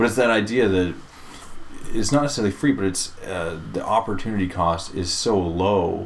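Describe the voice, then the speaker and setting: A man mumbles at a moderate pace in a fairly low pitch. His pitch variation is ordinary, with audible room echo. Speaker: game producer and podcast co-host. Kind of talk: casual chat. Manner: mumbling.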